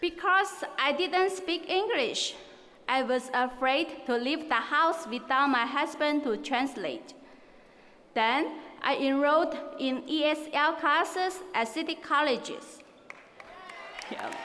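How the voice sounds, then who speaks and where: In a raised, projected voice with a Chinese accent, the speaker talks at a very slow pace with long, frequent pauses and ordinary pitch variation, amid audible room echo. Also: woman, high pitch for a woman. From China. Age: 30s. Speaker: valedictorian, student. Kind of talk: graduation speech. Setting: stage with large audience.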